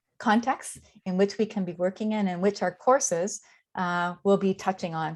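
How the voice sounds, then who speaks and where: At a moderate pace, a woman speaks in an unremarkable speaking voice with fairly even intonation. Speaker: education professor. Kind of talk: online information session presentation.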